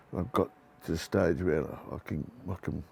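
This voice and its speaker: A man's dark, mellow voice with vocal fry. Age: 60s. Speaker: builder. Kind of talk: interview answer.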